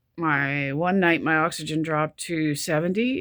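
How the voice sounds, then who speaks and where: This woman has a very deep, low pitch with ordinary variation. The sound is dry and close, with no echo. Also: very clean recording, silent background. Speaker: vlogger with chronic illness. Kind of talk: personal video diary. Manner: halting, stop-start speech; pauses for breath mid-sentence.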